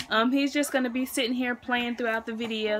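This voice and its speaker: A woman's raised, projected voice with ordinary pitch variation over light background noise. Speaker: young mom vlogger. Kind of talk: casual vlog chat. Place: home room. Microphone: phone near.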